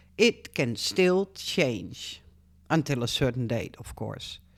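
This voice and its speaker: In a very clean recording with a silent background, a woman with a Dutch accent speaks at a fairly slow pace, her pitch swinging very widely. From Netherlands. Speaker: YouTuber. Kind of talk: casual vlog. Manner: halting.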